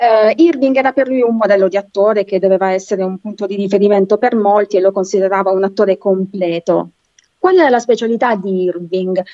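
A woman speaks at a fairly quick pace in a medium pitch with ordinary pitch variation, her tone dark and mellow, the sound dry and close with no echo. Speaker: literature lecturer. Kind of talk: lecture.

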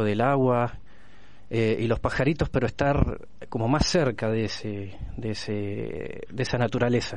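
A man has an unremarkable speaking voice at a medium pitch. He speaks at a fairly slow pace with ordinary pitch variation. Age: 30s. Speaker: blind interviewee. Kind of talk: testimony.

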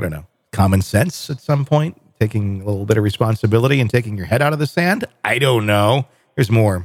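Lively intonation and a fairly quick pace come through in a normal speaking voice with an American accent, in a dry, close sound with no echo. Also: man, medium pitch for a man. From US Midwest. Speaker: podcast host. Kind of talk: casual discussion.

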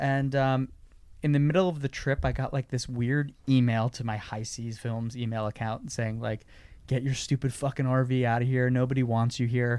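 A man in a plain, everyday voice speaks at a moderate pace with medium pitch and fairly even intonation, on a very clean recording with a silent background. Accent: American. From New York, Long Island. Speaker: surf filmmaker. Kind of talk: casual interview chat.

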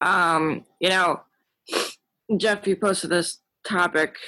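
With a bright, sharp tone, a woman speaks at a fairly low pitch. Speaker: recovery group member. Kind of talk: support group share. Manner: quiet.

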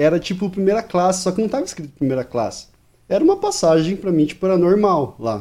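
A man talks at a very fast pace in a high pitch, his dark, mellow tone carrying lively intonation. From Brazil, Maranhão (Northeast). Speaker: podcast audio editor. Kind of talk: casual chat.

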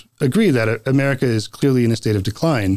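Over a very clean recording with a silent background, a man talks at a fairly quick pace in an unremarkable speaking voice, medium in pitch with ordinary variation. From North Carolina. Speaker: city council candidate. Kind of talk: interview. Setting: studio.

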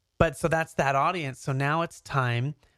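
In a very clean recording with a silent background, a man with an American accent uses an unremarkable speaking voice, fairly high in pitch and fairly even in intonation. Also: dry, close sound with no echo. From Canada, then Southern California. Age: 30s. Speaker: YouTuber and serial entrepreneur. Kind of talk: casual interview chat.

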